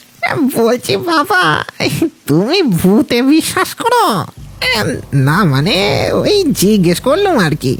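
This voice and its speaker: The speaker uses a put-on character voice, fairly high in pitch, at a fairly slow pace. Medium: audio drama. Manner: hesitant, chuckling, with filler sounds.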